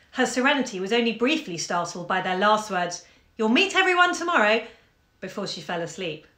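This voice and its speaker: Against a quiet background with audible room echo, a woman talks at a fairly quick pace in a bright, sharp tone with very wide pitch swings. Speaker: bookshop owner reading aloud. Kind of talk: literary audiobook reading, calm and intimate, from a 1954 short story. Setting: live video stream from home during lockdown. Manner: chatty and friendly in intro. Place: home room. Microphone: phone near.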